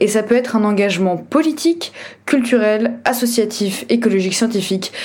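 With audible room echo and noticeable background noise, a woman talks at a moderate pace in a fairly high pitch with ordinary pitch variation. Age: 20s. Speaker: podcast host, NGO advocacy officer. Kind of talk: scripted podcast introduction monologue.

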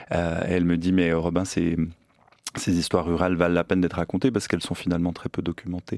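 Dry and close with no echo, a man speaks fairly quickly in a very deep, low pitch. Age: 30s. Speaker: novelist and magazine editor. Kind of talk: interview. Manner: halting.

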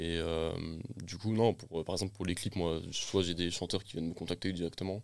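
A man's very deep, low voice, fairly even in intonation, with hardly any pauses. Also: moderate pace. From France, Essonne (Paris region). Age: 20s. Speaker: film director. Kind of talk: casual chat.

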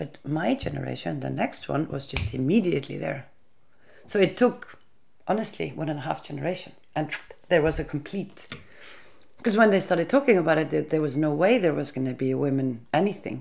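A woman's very deep, low voice with vocal fry, in an Icelandic accent, fairly quick and lively in intonation. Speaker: interviewee on feminist history. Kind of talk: interview.

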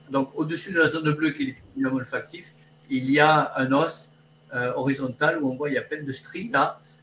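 A man talks at a fairly high pitch with fairly even intonation and a moderate pace. Noticeable background noise can be heard. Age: 60s. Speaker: olfactotherapist. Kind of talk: interview. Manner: halting.

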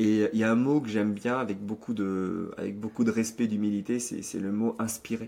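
With hardly any pauses, a man speaks at a moderate pace in a monotone, flat intonation. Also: fairly low pitch for a man. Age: 30s. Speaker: magician and speaker. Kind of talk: interview.

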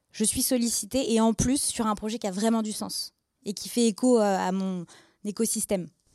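A woman's fairly high voice with a dark, mellow tone, fairly even intonation and a moderate pace, dry and close with no echo. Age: 20s. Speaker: biotech startup co-founder. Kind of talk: interview with students.

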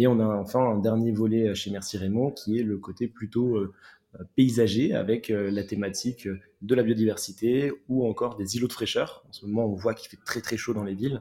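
A man's medium-pitched voice with a dark, mellow tone, fairly even intonation, a moderate pace and big swings in loudness. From southwest France. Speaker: urban greening entrepreneur. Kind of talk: interview. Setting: remote call. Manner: halting, frequent repetitions.

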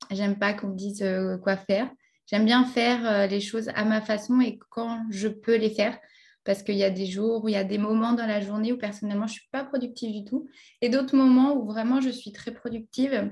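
A woman's somewhat breathy voice at a fairly high pitch shows big swings in loudness. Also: fairly even intonation. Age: 20s. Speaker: English trainer and online entrepreneur. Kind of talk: interview. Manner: halting, many repetitions.

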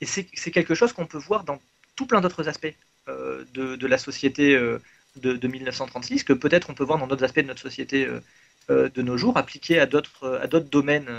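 Fairly high in pitch, this man has a plain, everyday voice. He keeps a moderate pace with ordinary pitch variation. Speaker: mathematician. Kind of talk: explanatory discussion.

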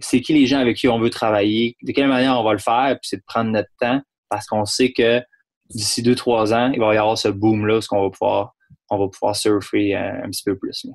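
A man speaks at a fairly quick pace with fairly even intonation, in a dry, close sound with no echo. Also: medium pitch for a man. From Quebec, Saguenay-Lac-Saint-Jean. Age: young. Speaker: distillery owner. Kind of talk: interview. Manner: halting, many repetitions.

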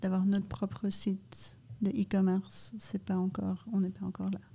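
The intonation is fairly even. The tone is dark and mellow, with a somewhat breathy quality. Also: woman. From Canada and Brazil. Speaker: ice cream company co-founder. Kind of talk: casual interview. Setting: studio in a cellar.

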